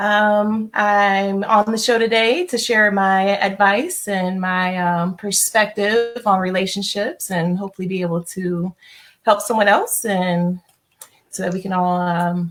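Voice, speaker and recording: Here a woman with a medium-pitched, ordinary speaking voice talks with fairly even intonation. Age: 30s. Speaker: relationship advisor. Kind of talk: guest introduction.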